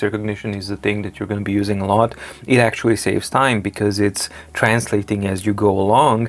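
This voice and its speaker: A man with a Serbian accent at a fairly quick pace. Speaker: tech reviewer. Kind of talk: tutorial. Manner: animated.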